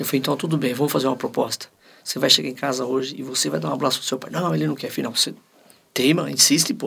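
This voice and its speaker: With music playing behind him, a man speaks at a very fast pace. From Paraná, Brazil. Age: 60s. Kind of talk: casual interview.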